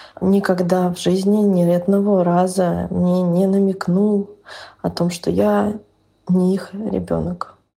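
With fairly even intonation, a woman of medium pitch speaks in an ordinary speaking voice. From northern Russia. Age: 30s. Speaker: podcast listener sharing a personal story. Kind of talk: personal testimony.

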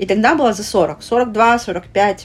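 A woman speaks in a fairly high pitch. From Russia, Vladivostok (Russian Far East). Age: 30s. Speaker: plus-size lifestyle blogger. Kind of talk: casual interview.

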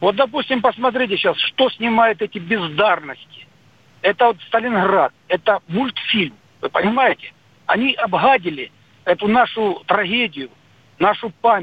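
Speaking at a fairly slow pace with long, frequent pauses, a man with a high pitch uses lively intonation. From Soviet Union. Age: 50s. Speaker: radio caller. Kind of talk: phone-in call. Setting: phone call. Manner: animated.

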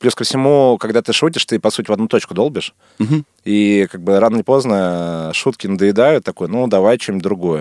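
A man's fairly low voice at a very fast pace, lively in intonation, on a very clean recording with a silent background and a dry, close sound with no echo. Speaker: film director. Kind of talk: casual interview chat. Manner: casual, colloquial.

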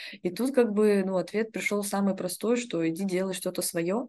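The voice belongs to a woman and has a dark, mellow tone. Its pitch shows ordinary variation. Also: quiet background. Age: 20s. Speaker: entrepreneur. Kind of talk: casual chat.

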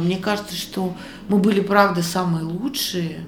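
At a fairly slow pace, a woman with medium pitch and ordinary pitch variation talks amid noticeable background noise and audible room echo. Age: 50s. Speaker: restaurateur and cook, former showbiz manager. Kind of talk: interview. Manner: animated.

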